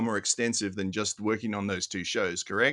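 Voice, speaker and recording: Over a quiet background, a man speaks at a moderate pace with a bright, sharp tone and fairly even intonation. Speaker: podcast host. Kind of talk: scripted intro then interview.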